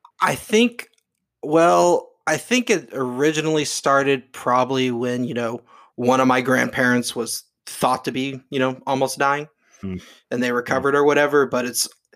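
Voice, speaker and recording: An ordinary speaking voice from a man at medium pitch and moderate pace, in a very clean recording with a silent background. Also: ordinary pitch variation. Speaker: co-host. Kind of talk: casual chat.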